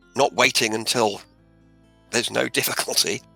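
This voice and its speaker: A man at a moderate pace, dry and close with no echo, music playing in the background. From Australia. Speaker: author and motivational speaker. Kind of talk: interview answer.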